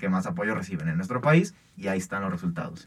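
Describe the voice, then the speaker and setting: Heard against a very clean recording with a silent background, a man with a plain, everyday voice talks fairly quickly at a medium pitch. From Mexico. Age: young. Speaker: university student sports podcast host. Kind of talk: casual sports debate.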